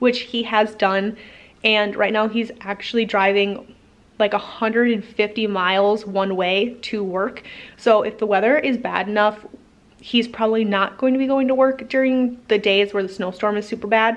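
A woman's fairly slow, fairly even-toned speech. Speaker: homesteader vlogger. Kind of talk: casual vlog chat. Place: garage. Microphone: phone near.

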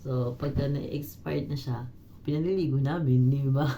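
A woman's very deep, low voice, dark and mellow in tone and somewhat breathy, with ordinary pitch variation and audible room echo. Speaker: domestic helper and vlogger. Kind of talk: casual vlog monologue.

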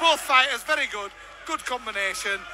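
Raising and projecting his voice, a man talks at a moderate pace with ordinary pitch variation, in a dry sound with no echo and noticeable background noise. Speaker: ringside commentator. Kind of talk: live sports commentary. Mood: jokey, banter-filled. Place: hall.

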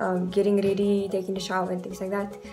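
A woman's medium-pitched voice at a very fast pace, with clear music in the background. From South Africa. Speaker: beauty vlogger. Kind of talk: casual talk to camera. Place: home room. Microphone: phone near.

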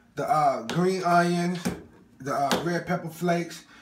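A man talks over noticeable background noise. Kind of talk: casual cooking vlog chat. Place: kitchen. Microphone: phone near.

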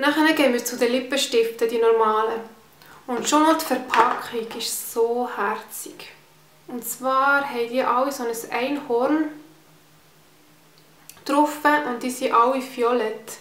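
A woman with a high pitch and a Swiss German accent, at a very slow pace with long, frequent pauses, fairly even intonation and audible room echo. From Switzerland. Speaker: beauty vlogger. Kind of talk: casual talk to camera, product review. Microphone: phone near.

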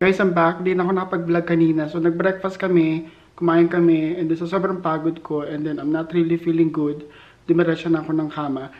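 He speaks in a flat, monotone manner. The man's pace is fairly quick. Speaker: vlogger. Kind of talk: casual vlog chat. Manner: tired, low, unwell-sounding voice. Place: home room. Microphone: phone near.

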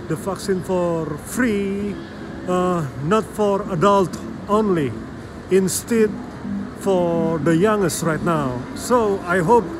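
With music in the background, a man speaks at a very slow pace, leaving long, frequent pauses. His pitch is high, with ordinary variation. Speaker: vlogger. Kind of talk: casual vlog chat. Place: hall. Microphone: phone near.

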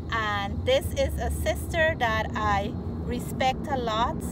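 A woman speaks over loud background noise in a dry setting with no echo. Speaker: cooking vlogger. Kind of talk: casual vlog chat. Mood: warm, upbeat. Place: car. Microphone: phone near.

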